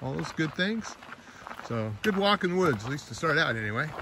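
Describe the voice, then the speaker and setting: With noticeable background noise and a dry sound with no echo, a man speaks at a moderate pace. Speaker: hiker vlogger. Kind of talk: casual vlog chat. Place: forest. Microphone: phone near.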